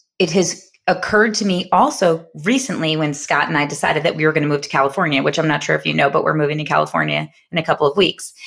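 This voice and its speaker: The voice is bright and sharp in tone, with an American accent. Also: woman. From New York. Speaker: podcast co-host, entrepreneur. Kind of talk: casual chat. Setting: studio, sharing one mic.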